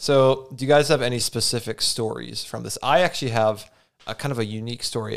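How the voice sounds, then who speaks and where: A man talks at a very fast pace with a medium pitch. His voice has vocal fry and ordinary pitch variation. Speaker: podcast host. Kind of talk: casual comedy podcast banter.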